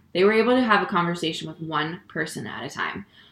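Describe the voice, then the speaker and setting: Very fast and with very wide pitch swings, a woman with an American accent speaks over noticeable background noise. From Connecticut. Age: 20s. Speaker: stand-up comedian. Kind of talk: casual interview. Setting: her apartment.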